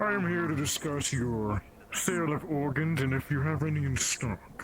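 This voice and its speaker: Clear background noise sits behind a man doing a put-on character voice. He keeps a fairly high pitch, very even loudness and a moderate pace. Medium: game stream. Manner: formal, pompous, florid.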